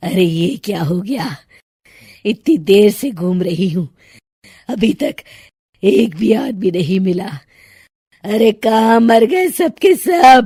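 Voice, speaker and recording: A put-on character voice with a fairly high pitch cackles in a menacing tone, moving at a fairly slow pace with long, frequent pauses. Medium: cartoon. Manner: cackling, menacing.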